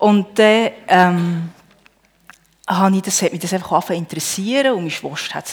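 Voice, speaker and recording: The speaker keeps a moderate pace. Pitch varies in an ordinary way. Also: woman. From Switzerland, Emmental (Bern). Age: 40s. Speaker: churchgoer, homemaker. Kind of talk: testimony. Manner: halting.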